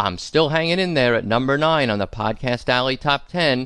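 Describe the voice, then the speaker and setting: Against a quiet background, a man with an American accent uses an ordinary speaking voice at medium pitch, with lively intonation and a moderate pace. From US Northeast, Long Island, New York. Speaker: political podcast host. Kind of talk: political commentary monologue.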